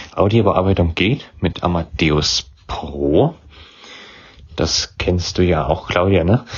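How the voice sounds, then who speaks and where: Very slow and full of long, frequent pauses, a man's very deep, somewhat breathy voice holds very even loudness and ordinary pitch variation. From Thuringia, Germany (Weimar). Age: young. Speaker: podcaster. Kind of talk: interview.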